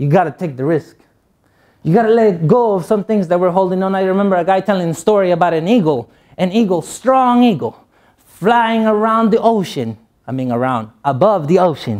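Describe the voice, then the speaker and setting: With a Spanish accent, a high-pitched man speaks at a fairly quick pace with lively intonation on a very clean recording with a silent background. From Guatemala. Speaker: motivational speaker. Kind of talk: motivational speech.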